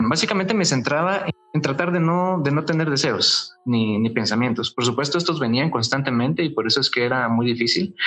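Over noticeable background noise, a man with a Guatemalan accent talks at a fairly quick pace in a fairly high pitch, with lively intonation and very even loudness. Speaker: former Jehovah's Witness. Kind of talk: interview testimony. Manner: halting, with fillers.

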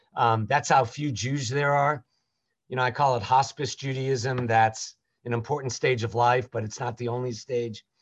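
A man with an American accent speaks at medium pitch in a somewhat breathy voice with monotone, flat intonation. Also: moderate pace, quiet background. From US South, Jacksonville, Florida. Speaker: rabbi. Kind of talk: interview.

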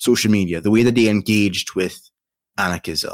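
A man's fairly low voice with a Trinidadian accent and fairly even intonation. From Trinidad and Tobago. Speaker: YouTube content creator. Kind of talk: casual interview chat.

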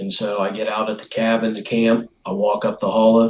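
A man talks with an Appalachian accent. His pace is moderate. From West Virginia. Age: 50s. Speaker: bow hunter. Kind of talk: casual chat.

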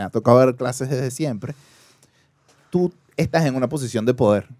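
A man with a Caracas accent, medium pitch and ordinary pitch variation at a moderate pace, with a dry, close sound and no echo. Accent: Venezuelan (Caracas). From Caracas, Venezuela. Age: 30s. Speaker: podcast guest. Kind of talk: casual chat.

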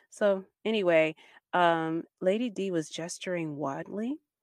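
Heard in a very clean, dry, close recording with no echo and a silent background, a woman has an unremarkable speaking voice, fairly low in pitch with ordinary pitch variation. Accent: American. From Baltimore, Maryland, US. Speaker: podcast co-host. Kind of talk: casual chat.

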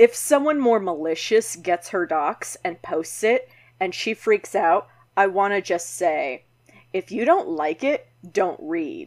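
A woman speaks in a put-on character voice that is raspy and medium-pitched, moving at a fairly slow pace with very wide pitch swings. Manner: ominous.

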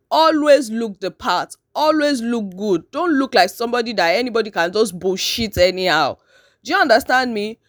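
In a Nigerian accent, a woman speaks at a moderate pace with a fairly high pitch, very wide pitch swings and an animated tone, on a very clean recording with a silent background. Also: dry, close sound with no echo. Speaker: podcast host. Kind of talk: casual monologue. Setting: at home, just woken up. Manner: animated, laughing often.

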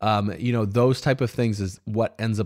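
At a fairly quick pace, a man talks in an ordinary speaking voice, fairly low in pitch with ordinary pitch variation. The recording is very clean, with a silent background. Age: 30s. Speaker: podcast host and business owner. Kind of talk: solo podcast monologue. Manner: casual, conversational with fillers.

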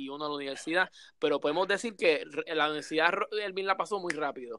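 This man has a Puerto Rican accent and a high voice with a bright, sharp tone. He sounds animated, with ordinary pitch variation. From Puerto Rico, Coto Laurel. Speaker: podcast host. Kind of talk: casual chat.

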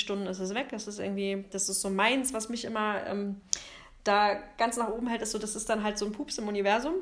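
Against noticeable background noise, a woman talks at a fairly quick pace with fairly even intonation and a fairly high pitch. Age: 40s. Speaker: photographer and podcast co-host. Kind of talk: casual chat. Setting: recording together in Zwickau.

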